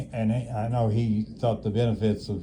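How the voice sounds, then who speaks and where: This man's voice sits fairly low. The room adds an audible echo. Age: 80s+. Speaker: elderly nursing home resident. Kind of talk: casual chat. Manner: halting.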